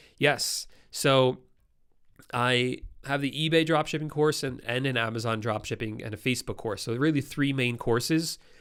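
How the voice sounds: A man's nasal voice at medium pitch, with a clear, smooth, fairly bright tone, ordinary pitch variation and a moderate pace, on a very clean recording with a silent background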